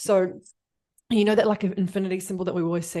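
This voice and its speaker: This woman has a medium pitch and a dark, mellow tone. Her pitch varies in an ordinary way against a quiet background. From New Zealand. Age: 20s. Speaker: business coach. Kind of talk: casual podcast chat. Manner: animated.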